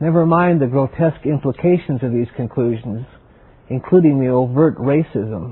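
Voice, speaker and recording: A man with an American accent speaks at a moderate pace in a plain, everyday voice, medium in pitch with ordinary pitch variation. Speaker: TV series host. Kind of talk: TV documentary presentation.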